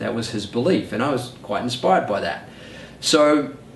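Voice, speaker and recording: A man with a New Zealand accent, with audible room echo and noticeable background noise. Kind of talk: personal story monologue.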